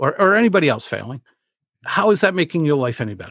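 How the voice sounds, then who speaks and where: A man with a New England accent talks at a fairly high pitch with lively intonation. The sound is dry and close with no echo, over a quiet background. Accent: New England American. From Rhode Island, US. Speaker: public speaking coach. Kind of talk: casual interview conversation.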